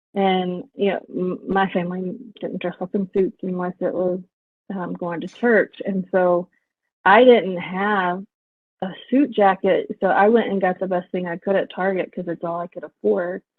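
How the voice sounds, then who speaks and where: In an American accent, a woman talks at a moderate pace. Her medium pitch keeps a fairly even intonation. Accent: Southern Texan accent, somewhat worked on. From rural West Texas. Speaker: professor. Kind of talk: interview. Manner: many fillers and restarts.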